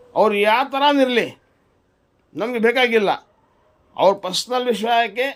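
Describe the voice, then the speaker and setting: This man's voice sits at an extremely high pitch, with fairly even intonation. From Karnataka, Kolar district. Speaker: local political commentator. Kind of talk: political monologue to camera.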